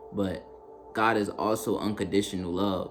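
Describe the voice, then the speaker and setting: The speech moves at a moderate pace, with music in the background and audible room echo. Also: man. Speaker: spiritual content creator. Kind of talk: spiritual monologue to camera. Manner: halting, repeats words; casual, conversational.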